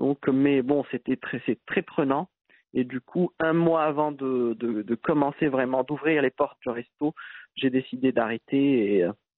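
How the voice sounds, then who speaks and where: Speaking at a very slow pace, a man uses a medium pitch. His pitch varies in an ordinary way. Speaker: entrepreneur. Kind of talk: interview. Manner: halting.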